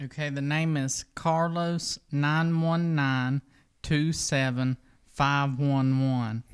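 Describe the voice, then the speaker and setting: The speaker has a North Carolina accent and talks at a very slow pace. The recording is very clean, with a silent background. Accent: Hickory. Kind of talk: reading aloud.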